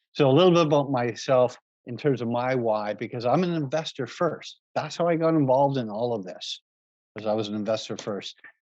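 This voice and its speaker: Here is a man with an ordinary speaking voice. He talks at a medium pitch and a fairly quick pace, with ordinary pitch variation. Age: 60s. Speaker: real estate investor and realtor. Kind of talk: webinar presentation.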